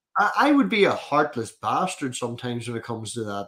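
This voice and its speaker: Over a silent background in a very clean recording, a man speaks at a fairly quick pace in a bright, sharp tone at medium pitch. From Northern Ireland. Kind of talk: casual chat. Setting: live stream.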